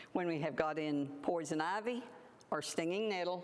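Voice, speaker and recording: This woman speaks at a moderate pace with a fairly low pitch and ordinary pitch variation. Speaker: plant forager and herbal presenter. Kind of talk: public talk. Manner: loud.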